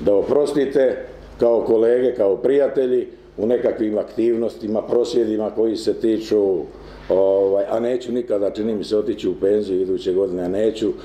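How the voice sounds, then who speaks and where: A man talks at a fairly quick pace. Audible room echo and light background noise are present. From Croatia, Kutina; Croatia. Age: 60s. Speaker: trade union leader. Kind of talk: conference talk. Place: meeting room. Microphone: camera far.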